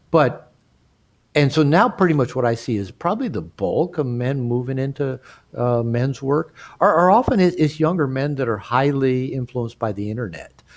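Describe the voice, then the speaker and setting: An unremarkable speaking voice belongs to a man with an American accent, medium pitch and lively intonation. He talks at a moderate pace in a very clean recording with a silent background. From United States. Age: 60s. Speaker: therapist and author. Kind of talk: podcast interview.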